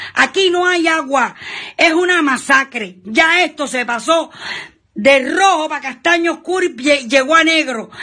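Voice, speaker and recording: Shouting in a raised, projected voice with a Cuban accent, a woman at an extremely high pitch with a bright, sharp tone and ordinary pitch variation speaks at a fairly slow pace against a quiet background. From Cuba, Trinidad. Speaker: citizen denouncing conditions; guest. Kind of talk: angry video denunciation. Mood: angry, desperate, shouting protest. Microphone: video call.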